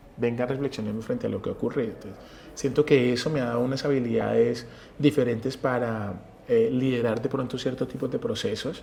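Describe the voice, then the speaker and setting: A man talks fairly quickly at a medium pitch, keeping fairly even intonation while noticeable background noise is heard. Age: 40s. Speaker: university professor. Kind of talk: interview. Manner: hesitant, with fillers.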